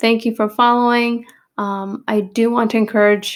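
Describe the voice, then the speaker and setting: In a plain, everyday voice, the speaker goes at a moderate pace. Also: woman. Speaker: nursing exam review tutor. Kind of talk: tutorial. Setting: recorded video with edited pauses.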